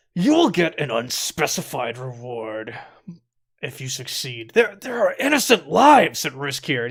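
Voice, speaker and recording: Using a put-on character voice, a man speaks at a moderate pace in a fairly high pitch, with an angry tone and big swings in loudness. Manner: angry, through gritted teeth.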